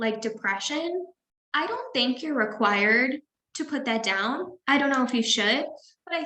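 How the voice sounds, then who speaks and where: The voice is raised and projected. Its intonation is lively. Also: woman. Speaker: mental health counselor. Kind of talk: webinar presentation and Q&A.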